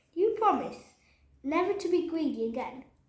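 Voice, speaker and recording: A woman uses a quiet, put-on character voice at an extremely high pitch. She moves at a fairly quick pace with a slight echo. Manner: much quieter, gentle.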